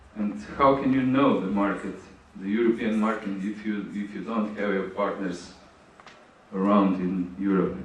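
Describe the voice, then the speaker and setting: With noticeable background noise and audible room echo, a man speaks at a moderate pace in a fairly low voice with ordinary pitch variation. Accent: Slovenian. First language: Slovenian. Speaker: conference speaker on grants. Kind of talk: conference Q&A. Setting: conference hall with audience. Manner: halting.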